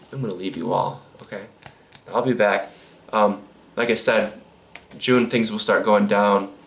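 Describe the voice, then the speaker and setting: Speaking at a fairly slow pace with long, frequent pauses, a man with a fairly low pitch is heard amid audible room echo and noticeable background noise. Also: ordinary pitch variation. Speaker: YouTuber answering viewer questions. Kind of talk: casual Q&A monologue. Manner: halting, many fillers; casual, rambling delivery.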